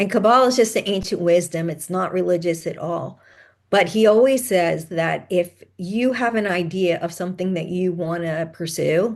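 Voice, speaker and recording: A woman with an ordinary speaking voice talks at a moderate pace and a fairly low pitch, with ordinary pitch variation. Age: 60s. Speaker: podcast host and author, mother of sons with ADHD. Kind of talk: interview conversation.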